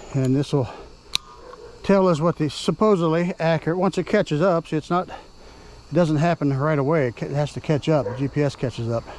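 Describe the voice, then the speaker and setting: A man's fairly high voice at a fairly quick pace, with ordinary pitch variation and noticeable background noise. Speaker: ebike reviewer. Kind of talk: casual vlog commentary while riding. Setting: outdoors on an ebike.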